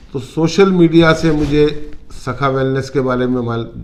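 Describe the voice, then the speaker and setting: Pitch varies in an ordinary way. The room echo is audible. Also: man. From India, Uttarakhand (Roorkee). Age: 60s. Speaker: retired businessman, wellness client. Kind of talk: testimonial interview.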